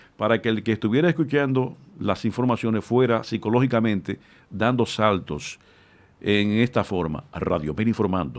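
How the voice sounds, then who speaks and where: A man at medium pitch and moderate pace with lively intonation, on a very clean recording with a silent background. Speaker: radio announcer. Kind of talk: interview. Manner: articulate.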